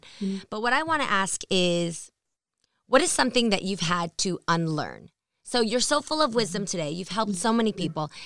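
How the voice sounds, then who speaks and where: A woman's ordinary speaking voice at medium pitch, with lively intonation, a moderate pace, and a very clean recording over a silent background. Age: 40s. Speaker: podcast host. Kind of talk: casual interview.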